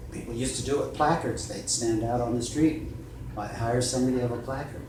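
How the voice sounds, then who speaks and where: Amid noticeable background noise and audible room echo, a man speaks at a fairly quick pace, medium pitch and fairly even intonation. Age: 60s. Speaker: personal injury lawyer. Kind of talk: interview.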